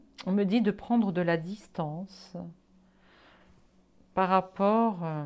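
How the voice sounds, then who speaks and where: A woman talks very slowly, and her intonation stays fairly even. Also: medium pitch for a woman. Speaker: psychic card reader. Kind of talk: solo tarot card reading video. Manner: hesitant, many fillers.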